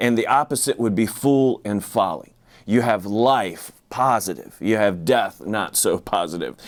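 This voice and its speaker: Here is a man with an unremarkable speaking voice at a medium pitch and ordinary pitch variation. He talks at a fairly slow pace on a very clean recording with a silent background. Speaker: pastor. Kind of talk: sermon.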